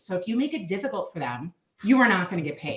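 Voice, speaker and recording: Her pitch swings very widely. The woman talks at a fairly quick pace. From Minnesota, US. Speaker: payment solutions sales manager. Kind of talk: podcast interview.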